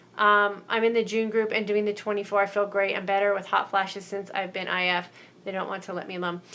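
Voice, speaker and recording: A woman with a medium pitch and a bright, sharp tone speaks very fast in a monotone, flat way. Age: 50s. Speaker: mindset coach hosting live stream. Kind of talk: live stream Q&A reading viewer comments. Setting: live broadcast on Facebook and YouTube. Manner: casual, conversational.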